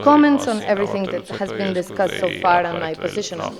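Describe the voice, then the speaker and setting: A woman with a Spanish accent speaks at a medium pitch, with audible room echo and noticeable background noise. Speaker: lawyer and professor, conference panelist. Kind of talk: conference panel talk. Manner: hesitant, with fillers.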